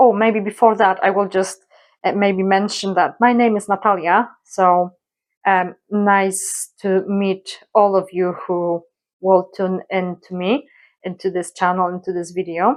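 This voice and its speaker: A woman in a Polish accent speaks at a fairly slow pace and medium pitch with monotone, flat intonation against a quiet background. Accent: Polish accent, non-native English. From Poland. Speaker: colouring YouTuber. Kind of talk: casual vlog introduction. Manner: hesitant, many fillers.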